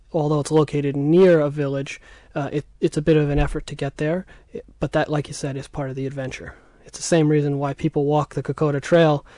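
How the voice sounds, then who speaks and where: Over a quiet background, a man with an American accent talks at a very fast pace in monotone, flat intonation. His fairly high voice has a dark, mellow tone, and the sound is dry and close with no echo. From United States. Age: 20s. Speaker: war history researcher. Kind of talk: radio interview.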